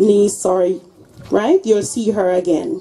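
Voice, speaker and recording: At a fairly slow pace, a woman delivers her words. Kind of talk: funeral condolence speech and prayer. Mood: solemn, sympathetic. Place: tent.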